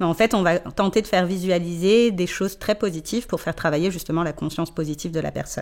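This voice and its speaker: At a very fast pace and with hardly any pauses, a woman talks in a fairly low pitch with fairly even intonation. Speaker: sophrologist. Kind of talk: interview.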